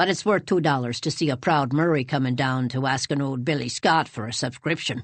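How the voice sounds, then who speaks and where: A gruff, put-on character voice sits at a low-to-middle pitch. It moves at a fairly quick pace with hardly any pauses. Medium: read story. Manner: gruff, blunt.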